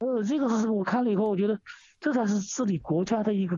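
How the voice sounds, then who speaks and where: A man's pitch varies in an ordinary way as he speaks at a very fast pace. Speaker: radio caller. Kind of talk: phone-in commentary. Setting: phone call. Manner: halting, many fillers and repetitions.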